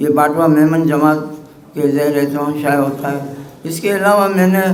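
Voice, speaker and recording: A man's fairly even intonation comes through noticeable background noise and audible room echo. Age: 70s. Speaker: writer and editor. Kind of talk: acceptance speech. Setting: press club event. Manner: halting.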